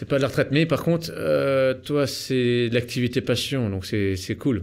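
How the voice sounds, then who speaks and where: An ordinary speaking voice, a man's, medium in pitch with ordinary pitch variation and a fairly slow pace. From eastern France (Nancy). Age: 30s. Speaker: real estate investor and business coach. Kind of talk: podcast interview. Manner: casual, informal.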